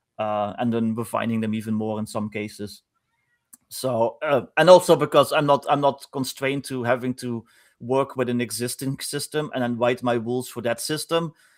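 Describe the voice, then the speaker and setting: A man with a Dutch accent, medium pitch, ordinary pitch variation and a moderate pace. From Netherlands. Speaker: game designer. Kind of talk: casual chat. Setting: live stream.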